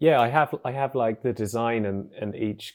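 A man speaks with a southern English accent at a moderate pace. The recording is very clean, with a silent background. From England, Cambridge. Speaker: animator. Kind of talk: casual interview.

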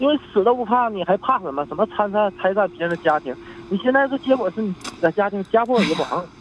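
Talking very fast, a man with a high voice swings through a very wide pitch range. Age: 40s. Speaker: caller. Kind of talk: phone-in confession.

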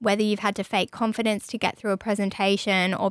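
A woman with an Australian accent, flat and monotone, on a very clean recording with a silent background. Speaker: podcast host and radio station staffer. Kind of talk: casual chat. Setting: studio.

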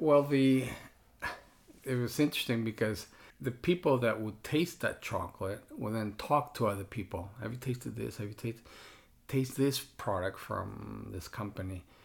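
This is a man with a somewhat breathy voice. The recording is very clean with a silent background. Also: medium pitch for a man, ordinary pitch variation, moderate pace. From Mexico. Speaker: chocolate business owner. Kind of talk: casual interview conversation.

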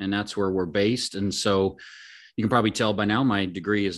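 Over a quiet background, a man with an American accent speaks in a normal speaking voice at a fairly low pitch. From Oregon. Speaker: podcast host, card collector. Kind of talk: casual chat.

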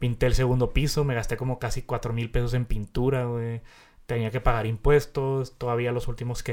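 A man with a Mexican accent, medium pitch and a fairly quick pace, in a very clean recording with a silent background. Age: 20s. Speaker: podcast host. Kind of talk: casual chat.

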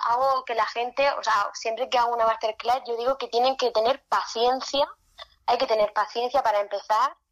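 The woman's voice sits at a high pitch. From Spain, Murcia region (small town). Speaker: makeup artist. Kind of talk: interview.

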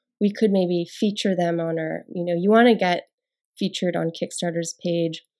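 In an American accent, a woman speaks with a dark, mellow tone and fairly even intonation. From Nevada, US. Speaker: founder of a yoga mat brand. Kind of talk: interview. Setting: studio.

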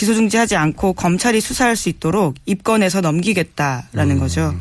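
In an unremarkable speaking voice, a woman talks at a fairly quick pace and medium pitch with lively intonation. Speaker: journalist. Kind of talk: news briefing.

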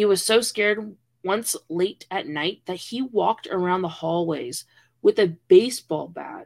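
A woman uses a plain, everyday voice at medium pitch and a fairly slow pace, with lively intonation and big swings in loudness. The sound is dry and close, with no echo. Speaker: podcast co-host. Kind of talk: dramatic narration of a ghost story, read aloud, mixed with casual banter.

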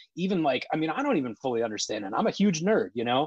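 Someone with a Midwestern American accent speaks at a very fast pace. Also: man. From Ohio, US Midwest (Columbus). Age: 30s. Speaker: Bitcoin advocate and cybersecurity worker. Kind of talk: casual interview. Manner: halting, repeats words.

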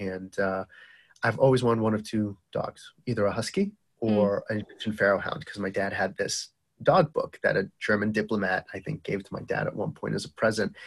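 Dry and close with no echo, a man talks fairly quickly with a Boston accent. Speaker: entrepreneur and medical device founder. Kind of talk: casual interview chat. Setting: remote call, early morning. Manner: animated.

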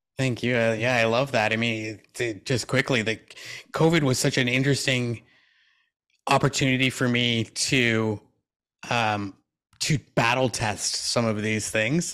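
A man's bright, sharp voice at a fairly slow pace, with fairly even intonation. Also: medium pitch for a man. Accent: Canadian. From Canada. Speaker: keynote speaker and transplant recipient. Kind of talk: interview.

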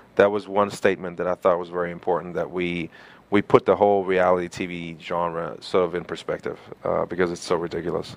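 Very deep and low, a man's voice moves at a fairly quick pace. The intonation is monotone and flat. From Germany (small town). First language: German. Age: 30s. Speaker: actor and model. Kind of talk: interview. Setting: studio.

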